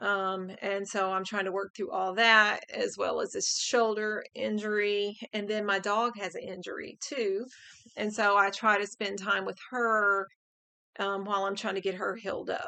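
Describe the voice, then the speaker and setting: A woman at a medium pitch and moderate pace, with a bright, sharp tone and monotone, flat intonation. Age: 50s. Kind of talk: casual talk to camera.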